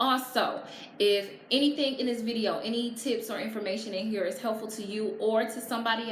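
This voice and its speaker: Over noticeable background noise and audible room echo, a woman speaks with a fairly high pitch. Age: 30s. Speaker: vlogger and blogger. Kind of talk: casual vlog tutorial. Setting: at home with natural lighting. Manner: animated.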